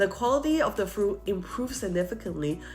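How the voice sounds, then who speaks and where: A woman speaks at a fairly quick pace, her pitch swinging very widely. Music plays in the background. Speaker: wine seller and educator. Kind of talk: casual talk to camera about wine.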